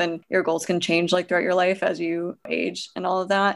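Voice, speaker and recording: A woman has an unremarkable speaking voice at a medium pitch, moving at a moderate pace. The background is quiet. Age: 20s. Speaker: physical therapist and running coach. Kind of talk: casual interview.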